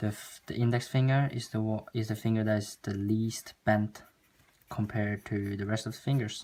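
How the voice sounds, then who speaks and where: A non-native accent at a moderate pace. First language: not English. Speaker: art tutorial youtuber. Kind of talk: tutorial. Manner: halting, frequent stops.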